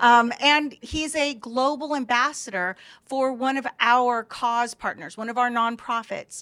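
A woman with an American accent speaks at a fairly high pitch. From Los Angeles. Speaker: media company representative. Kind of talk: casual chat.

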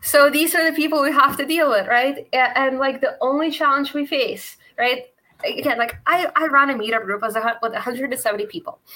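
Raising and projecting her high-pitched voice, a woman speaks at a moderate pace with lively intonation. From Russia. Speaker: libertarian meetup organizer. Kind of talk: casual chat.

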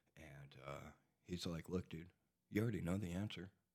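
A man speaks at a moderate pace with a very deep, low pitch. Vocal fry runs through his voice. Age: 40s. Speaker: recovering addict sharing his story. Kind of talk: casual chat. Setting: studio.

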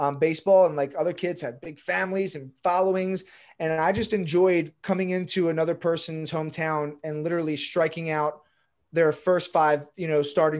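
A man talks in a plain, everyday voice with an American accent, pitched fairly high. His intonation stays fairly even at a moderate pace. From Baltimore, Maryland. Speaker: real estate broker and SEO coach. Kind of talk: casual interview chat.

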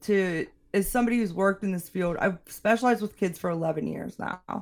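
This woman has a plain, everyday voice with an American accent, medium pitch and ordinary pitch variation, recorded very cleanly against a silent background. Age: 30s. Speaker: juvenile justice clinician. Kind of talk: casual chat.

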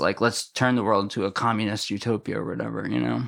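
Vocal fry in an American accent, with ordinary pitch variation, on a very clean recording with a silent background. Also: man. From Massachusetts. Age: 30s. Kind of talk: casual chat. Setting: in person.

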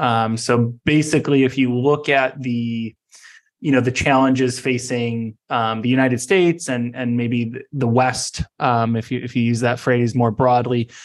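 At a moderate pace and medium pitch, a man talks in a flat monotone against a quiet background. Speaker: tech company CEO. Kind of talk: podcast interview. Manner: halting, many fillers.

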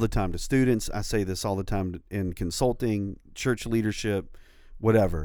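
Here a man speaks in a plain, everyday voice. His pace is moderate and his pitch variation ordinary. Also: very clean recording, silent background. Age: 40s. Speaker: podcast co-host and campus pastor. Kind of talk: casual chat. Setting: studio.

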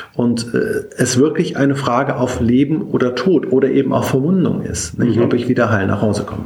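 Noticeable background noise and audible room echo accompany a man speaking at a fairly quick pace in a medium pitch, with ordinary pitch variation. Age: 50s. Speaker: military bishop. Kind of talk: interview. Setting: in person, office in Berlin. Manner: frequent filler sounds (äh, ähm).

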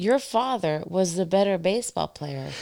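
With an American accent, a woman talks fairly slowly at a fairly low pitch in a very clean recording with a silent background. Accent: noticeable to others. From Indiana. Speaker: physician. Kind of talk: casual chat. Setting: at her home.

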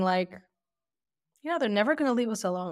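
A woman speaks with a New Jersey accent and lively intonation in a very clean recording with a silent background. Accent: American (New Jersey). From Lakewood, New Jersey, US. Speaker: women's rights advocate. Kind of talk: interview.

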